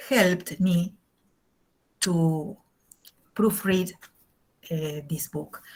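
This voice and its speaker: In an Argentine accent, a woman with a medium pitch and a somewhat breathy voice speaks at a very slow pace. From Argentina. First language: Spanish. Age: 60s. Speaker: English teacher. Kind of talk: lecture. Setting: video call. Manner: halting.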